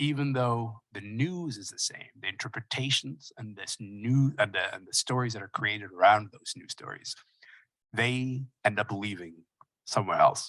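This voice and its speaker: A man with a plain, everyday voice and medium pitch speaks at a moderate pace with ordinary pitch variation and big swings in loudness, the sound dry and close with no echo. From Sudan, then Kingston, Ontario from age 12. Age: 30s. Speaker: keynote speaker. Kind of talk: keynote speech. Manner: casual, conversational.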